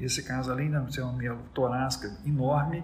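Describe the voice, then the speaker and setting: This is a man talking. His voice carries audible room echo amid noticeable background noise. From Brazil, Minas Gerais. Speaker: neurosurgeon. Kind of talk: interview.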